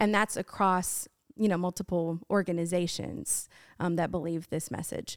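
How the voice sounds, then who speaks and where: A woman with an ordinary speaking voice talks at a moderate pace, medium in pitch with fairly even intonation. The recording is very clean, with a silent background. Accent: American. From Washington State, US. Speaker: singer-songwriter and pastor's wife. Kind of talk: testimony in podcast interview. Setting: studio recording in Lufkin, Texas.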